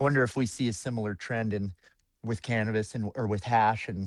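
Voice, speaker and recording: In an American accent, a man with a normal speaking voice and fairly low pitch talks at a moderate pace with fairly even intonation, the sound dry and close with no echo. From Colorado, Longmont. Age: 30s. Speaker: home cannabis grower and hash maker. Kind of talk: casual podcast conversation. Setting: podcast interview. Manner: casual, filler-heavy.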